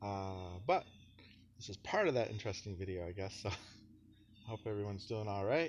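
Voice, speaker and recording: Over light background noise, a man talks with a fairly low pitch and fairly even intonation. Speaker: vlogger. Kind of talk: casual vlog chat. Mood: cheerful, laughing. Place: street. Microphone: phone near.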